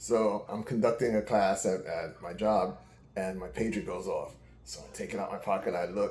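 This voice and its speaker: With an American accent, a man talks at a moderate pace. Noticeable background noise and audible room echo fill the recording. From New York City. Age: 60s. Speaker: uncle of the channel owner. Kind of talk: casual chat.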